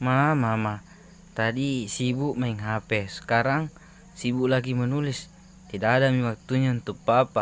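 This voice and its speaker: A man at medium pitch with a South Sulawesi accent, fairly slow and fairly even in intonation. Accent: Buginese. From Sinjai, South Sulawesi. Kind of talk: comedy skit.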